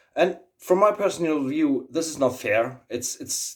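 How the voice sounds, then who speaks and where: In a German accent, the speaker goes at a fairly slow pace on a very clean recording with a silent background. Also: man. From Germany. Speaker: YouTuber, aviator. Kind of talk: casual vlog monologue. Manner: halting, many fillers and repetitions.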